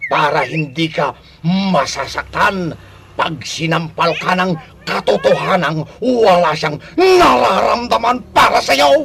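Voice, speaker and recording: Using a put-on character voice, a man speaks very slowly at a high pitch with lively intonation. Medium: audio drama. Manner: teasing, laughing.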